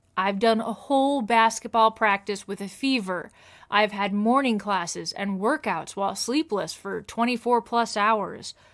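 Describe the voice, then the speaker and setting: A fairly high-pitched woman with ordinary pitch variation on a very clean recording against a silent background. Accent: Midwestern US. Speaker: chronic illness video creator. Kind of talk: casual explainer monologue.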